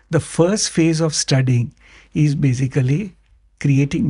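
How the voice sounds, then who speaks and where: A man with a fairly high, somewhat breathy voice and a dark, mellow tone speaks with lively intonation. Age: 60s. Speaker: entrepreneur, founder of a broking firm. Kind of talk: podcast interview. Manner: code-switching Hindi and English, repetitive fillers.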